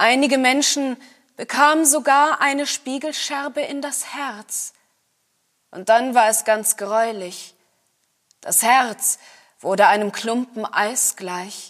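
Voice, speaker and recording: A woman's high voice at a very slow pace, with long, frequent pauses, ordinary pitch variation, and big swings in loudness. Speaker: actor reading fairy tale aloud. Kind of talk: scripted storytelling, fairy-tale reading.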